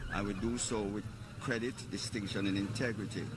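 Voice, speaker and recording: A man talks at a moderate pace in a fairly low pitch. His intonation is fairly even, and audible room echo surrounds his voice. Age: old. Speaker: political party supporter. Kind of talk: street interview.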